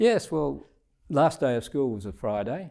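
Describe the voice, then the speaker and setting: A man's dark, mellow voice with an Australian accent. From Scotland. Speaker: retired diplomat. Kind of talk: interview answer.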